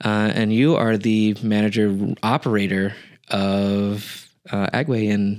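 A man speaks in an unremarkable speaking voice with a fairly low pitch. His loudness is very even and his intonation fairly even. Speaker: podcast host. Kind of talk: casual interview chat.

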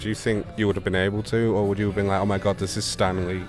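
A man with a fairly low pitch talks at a very fast pace. Music plays in the background. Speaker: convention correspondent. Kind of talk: casual interviews. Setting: convention floor.

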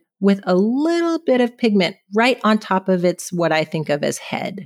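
With a West Coast US accent, a woman speaks at medium pitch and a moderate pace. Her intonation is lively, and the sound is dry and close with no echo. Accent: General American (West Coast). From California. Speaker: dermatopathologist. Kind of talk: educational interview.

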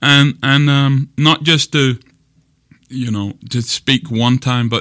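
With an English accent and a medium pitch, a man's bright, sharp voice comes through in a dry, close sound with no echo, on a very clean recording with a silent background. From England. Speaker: pastor. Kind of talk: casual conversation. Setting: office.

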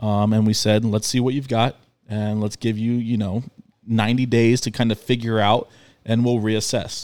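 A man speaks at a moderate pace with monotone, flat intonation. His tone is dark and mellow. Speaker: podcast co-host, business owner. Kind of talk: casual chat. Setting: studio.

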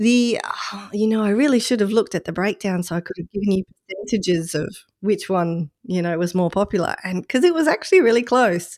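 The speaker talks at a fairly quick pace in an Australian accent, with ordinary pitch variation. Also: woman, medium pitch for a woman, dry, close sound with no echo. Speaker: podcast fill-in host. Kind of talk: casual chat.

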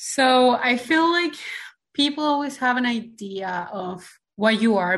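Very wide pitch swings mark this voice, delivered in a Spanish accent. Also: woman. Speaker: mechanical engineer and former beauty queen. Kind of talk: interview.

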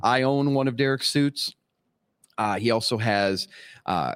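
A man's voice at medium pitch with an American accent and ordinary pitch variation, a normal speaking voice, dry and close with no echo, on a very clean recording with a silent background. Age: 40s. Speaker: cigar industry sales rep, former vocalist. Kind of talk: casual chat.

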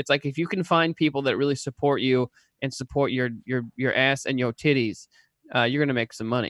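A man with an ordinary speaking voice talks at a medium pitch with fairly even intonation. The sound is dry and close, with no echo. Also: fairly quick pace. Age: 30s. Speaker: podcast co-host. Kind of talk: casual chat. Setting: video call.

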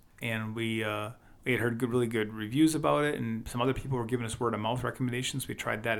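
In a very clean recording with a silent background, a man with a Wisconsin accent speaks at medium pitch with fairly even intonation. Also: hardly any pauses. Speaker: podcast co-host. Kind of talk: casual chat.

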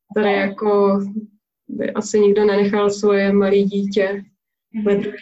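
A medium-pitched woman talks at a fairly slow pace in a monotone, flat intonation. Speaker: parenting and travel blogger. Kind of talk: interview.

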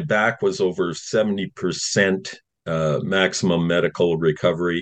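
In a Canadian accent, a man speaks with a very deep, low pitch and fairly even intonation. His pace is fairly slow, and the background is quiet. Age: 60s. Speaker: retired firefighter and activist. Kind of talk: interview. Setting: video call. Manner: halting.

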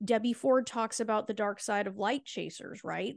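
The speaker is a woman with a fairly high pitch. Hers is an unremarkable speaking voice. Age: 40s. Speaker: fertility coach. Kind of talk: interview conversation.

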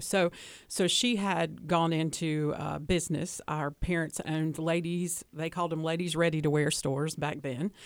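A woman with a Southern US accent speaks at a moderate pace in a very deep, low voice, her intonation fairly even. The recording is very clean, with a silent background. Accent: Southern, trying to lose it. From US South, Hickory, North Carolina. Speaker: guest on interview show. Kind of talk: interview. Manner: hesitant fillers.

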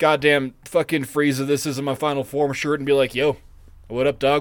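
Speaking at a moderate pace, a man has a normal speaking voice with a fairly high pitch. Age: 30s. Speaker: podcast co-host. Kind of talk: casual chat.

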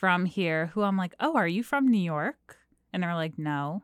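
Recorded very cleanly against a silent background, with a dry, close sound and no echo, a woman with an American accent talks at a medium pitch and a moderate pace. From New Jersey. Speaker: fill-in co-host. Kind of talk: casual chat. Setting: studio.

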